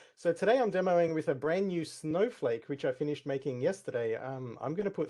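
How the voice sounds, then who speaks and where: A fairly quick man with an Australian accent, lively intonation and a dark, mellow tone. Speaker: tech community speaker. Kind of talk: conference talk with live demo. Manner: shaky, nervous.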